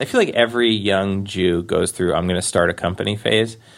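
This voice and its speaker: A man with an American accent and an ordinary speaking voice talks at a fairly quick pace, his pitch fairly low and its variation ordinary. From Queens, New York. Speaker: actor and stand-up comedian. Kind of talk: casual interview storytelling.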